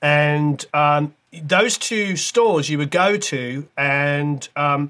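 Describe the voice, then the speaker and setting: A man speaks with ordinary pitch variation on a very clean recording against a silent background. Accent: British. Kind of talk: casual interview chat.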